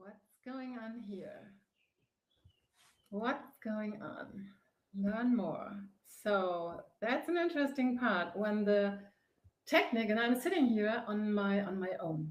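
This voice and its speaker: A woman with a German accent speaks at a very slow pace in a fairly high, somewhat breathy voice, her intonation lively and her loudness swinging widely, with long, frequent pauses and audible room echo. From Germany. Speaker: face yoga teacher and author. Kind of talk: live broadcast monologue. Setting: home on a sofa. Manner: hesitant with many fillers.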